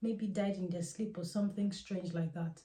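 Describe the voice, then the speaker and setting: Somewhat breathy and at a medium pitch, a woman speaks at a fairly quick pace. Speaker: Ifa priestess and spiritual teacher. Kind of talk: casual spiritual advice monologue.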